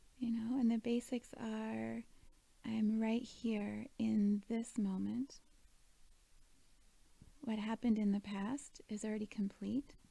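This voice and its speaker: Speaking very slowly with long, frequent pauses, a woman has a fairly high, somewhat breathy voice with a dark, mellow tone, a calm tone and monotone, flat intonation. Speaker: meditation guide. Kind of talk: guided meditation. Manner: calm, slow.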